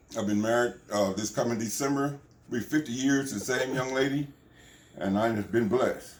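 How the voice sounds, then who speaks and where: Noticeable background noise accompanies a man talking at a medium pitch. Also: ordinary pitch variation, moderate pace. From Texas, Abilene. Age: 70s. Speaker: retired police officer and preacher. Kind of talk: interview.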